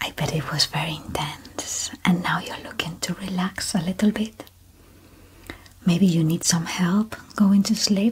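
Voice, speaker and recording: A woman speaks with ordinary pitch variation against light background noise. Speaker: relaxation guide. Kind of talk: sleep relaxation guidance. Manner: slow, calm. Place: home room. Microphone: studio mic.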